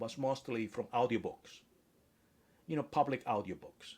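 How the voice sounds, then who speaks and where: A man speaks with a Spanish accent. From Spanish-speaking country. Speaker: author and AI expert. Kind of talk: interview. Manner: hesitant, with fillers and restarts.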